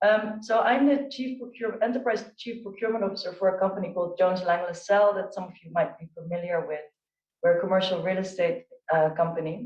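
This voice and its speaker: The speaker has a Dutch accent. The pace is very fast. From Netherlands. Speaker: chief procurement officer on a panel. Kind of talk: panel discussion.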